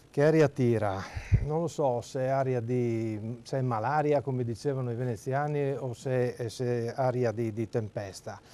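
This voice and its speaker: Speaking in a Friulian accent, a man with a dark, mellow tone keeps a medium pitch, a fairly even intonation and a moderate pace. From Friuli, Italy. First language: Friulian (speaking Italian). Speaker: regional party leader. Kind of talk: TV news interview.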